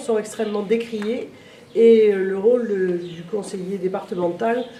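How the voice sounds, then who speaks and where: A woman's fairly high voice at a very slow pace, with audible room echo and noticeable background noise. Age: 60s. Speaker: local political candidate. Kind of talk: interview. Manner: hesitant, many filler sounds.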